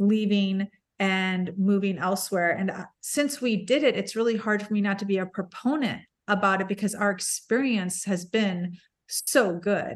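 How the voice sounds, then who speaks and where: A woman with a plain, everyday voice speaks at medium pitch with ordinary pitch variation, at a fairly slow pace, against a quiet background. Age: 50s. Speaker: podcaster. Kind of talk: casual chat.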